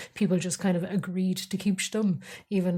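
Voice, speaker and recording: In a very clean recording with a silent background, a woman sounds somewhat breathy with a dark, mellow tone. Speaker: podcast host. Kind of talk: casual chat. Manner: hesitant, many fillers.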